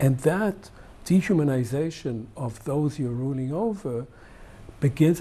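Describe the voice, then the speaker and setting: A man speaks at a fairly slow pace and medium pitch, somewhat breathy, with a dark, mellow tone. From Israel. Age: 70s. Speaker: historian. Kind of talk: TV interview.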